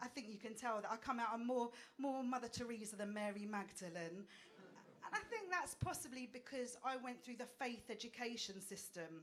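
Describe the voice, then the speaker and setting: An animated voice in an Essex accent, fairly quick with ordinary pitch variation, amid noticeable background noise and audible room echo. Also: woman, fairly high pitch for a woman. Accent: Essex accent, people may struggle. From England, Essex. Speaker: stand-up comedian. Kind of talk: stand-up. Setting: stage with audience.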